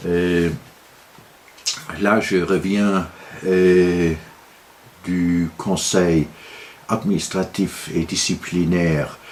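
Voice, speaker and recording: A man with a Luxembourgish accent and a very deep, low pitch, speaking at a very slow pace with fairly even intonation. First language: Luxembourgish (speaking French). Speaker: political commentator, law graduate. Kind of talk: video monologue. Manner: halting, many filler hesitations.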